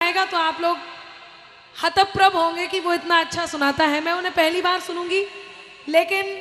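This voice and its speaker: A woman uses a raised, projected voice at an extremely high pitch, her intonation monotone and flat, with noticeable background noise. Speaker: poet and stage host. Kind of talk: stage announcement. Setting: stage with audience.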